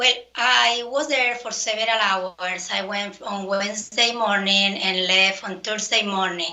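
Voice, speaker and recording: A woman speaks in a medium pitch. Her pace is fairly slow, with ordinary pitch variation. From outside the US. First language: not English. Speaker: poll challenger. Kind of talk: testimony. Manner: halting.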